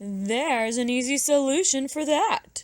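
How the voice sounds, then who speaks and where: A woman speaks in a high, put-on character voice. Her pace is moderate. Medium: read story. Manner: confident, helpful.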